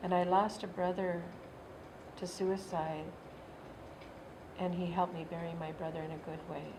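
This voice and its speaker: With audible room echo, a woman talks at a moderate pace with a fairly low pitch and monotone, flat intonation, pausing long and often. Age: 60s. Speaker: Native elder and youth worker. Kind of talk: personal testimony interview.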